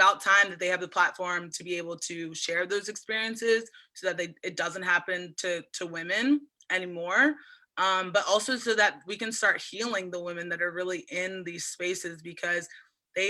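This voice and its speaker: On a very clean recording with a silent background, a woman with an American accent speaks at a medium pitch and moderate pace in a bright, sharp tone, with ordinary pitch variation and big swings in loudness. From Eastern Shore of Maryland, USA. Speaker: oyster farmer. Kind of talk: interview answer. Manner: casual, enthusiastic.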